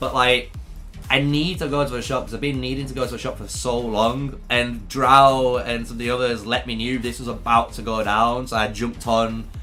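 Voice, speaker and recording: A man with a British accent speaks at a moderate pace. Audible room echo surrounds his voice. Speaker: gaming streamer. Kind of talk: casual live stream chat. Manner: casual, rambling with fillers.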